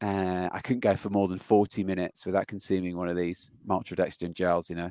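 A man with a British accent speaks at a fairly quick pace in a very deep, low pitch and a monotone, flat intonation. The sound is dry and close with no echo, on a very clean recording with a silent background. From Britain. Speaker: podcast host and software engineer. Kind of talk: casual interview.

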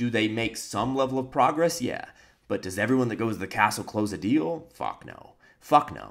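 With an American accent and vocal fry, a man speaks at a fairly quick pace and medium pitch in an animated tone, with lively intonation and big swings in loudness. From United States. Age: 20s. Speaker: entrepreneur and video blogger. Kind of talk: vlog monologue.

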